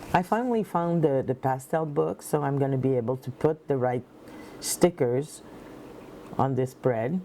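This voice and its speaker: In a French accent, a woman speaks at a moderate pace with very deep, low pitch. Her tone is dark and mellow, and her intonation is lively. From Quebec. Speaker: planner hobbyist vlogger. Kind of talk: tutorial. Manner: halting, searching for words.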